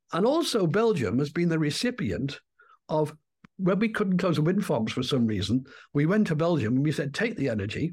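A man's voice sits at a fairly high pitch and is somewhat breathy. His pitch swings very widely. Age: 70s. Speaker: retired water resources engineer and climate skeptic video maker. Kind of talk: interview, explanatory talk. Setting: video call.

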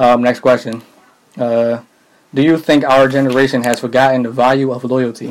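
A man with an American accent speaks at a moderate pace and a medium pitch. His intonation is monotone and flat, with long, frequent pauses. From Philadelphia. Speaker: podcast co-host. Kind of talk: casual chat.

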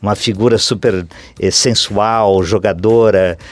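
The man's voice sits fairly low in pitch, and he keeps to a moderate speed. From Santa Catarina interior, Brazil. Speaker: theatre actor. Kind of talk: interview. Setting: radio studio. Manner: halting.

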